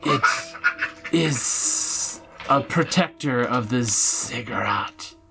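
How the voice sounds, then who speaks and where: A man speaks very slowly in a put-on character voice at a medium pitch, with long, frequent pauses and clear music playing in the background. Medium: actual play. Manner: slow, formal, third-person grandeur.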